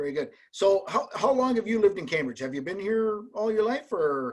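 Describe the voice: A man talks at a moderate pace in a high voice, his intonation lively.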